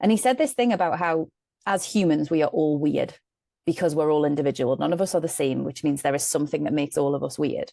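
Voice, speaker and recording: A woman with a very deep, low pitch and a dark, mellow tone speaks very fast with vocal fry and ordinary pitch variation over a quiet background. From northeast England. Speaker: medium and storyteller. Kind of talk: podcast interview. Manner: animated.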